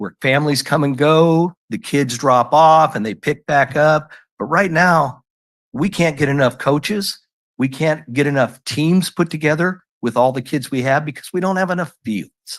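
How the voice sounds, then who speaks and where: Against a quiet background, a man with an unremarkable speaking voice talks at a fairly slow pace, fairly high in pitch with ordinary variation. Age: 60s. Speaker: public commenter at council meeting. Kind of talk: public comment. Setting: city council meeting.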